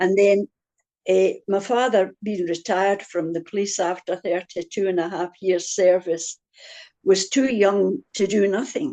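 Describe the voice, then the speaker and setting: The voice has a dark, mellow tone. Its delivery comes at a fairly slow pace. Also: woman, medium pitch for a woman, ordinary pitch variation. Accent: Scottish. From Scotland, Glasgow area (Busby, Newton Mearns). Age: 90s. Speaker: churchgoer interviewee. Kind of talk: interview. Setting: video call.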